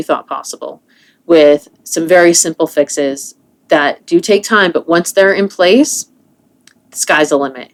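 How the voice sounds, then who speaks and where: Using a normal speaking voice, a woman talks at a moderate pace with a fairly low pitch and ordinary pitch variation. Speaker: wellness coach and podcast host. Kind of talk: solo podcast monologue.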